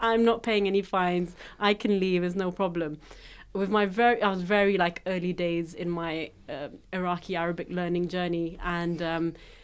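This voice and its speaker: In a British accent, a woman with a fairly low pitch speaks at a moderate pace. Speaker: tech media founder. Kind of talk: casual chat. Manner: animated.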